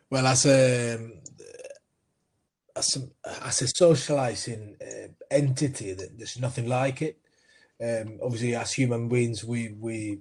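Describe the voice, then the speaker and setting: Fairly slow and somewhat breathy, a man's medium-pitched voice holds a fairly even intonation while swinging widely in loudness. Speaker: sports coaching entrepreneur. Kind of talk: interview.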